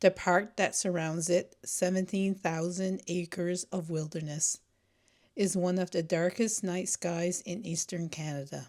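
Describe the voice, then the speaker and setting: A woman with a normal speaking voice speaks at a fairly slow pace with fairly even intonation and a fairly low pitch. The recording is very clean, with a silent background. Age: 60s. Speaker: nature and wildlife photographer. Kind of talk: documentary narration. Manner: reflective.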